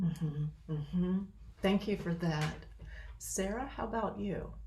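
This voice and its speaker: A woman's fairly low voice with a dark, mellow tone and vocal fry, lively intonation, a fairly slow pace and audible room echo. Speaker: training facilitator. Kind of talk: facilitating a group discussion.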